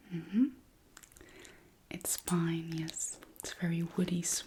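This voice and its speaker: A soft-spoken voice moves at a very slow pace. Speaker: ASMR artist. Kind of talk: ASMR roleplay. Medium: role play.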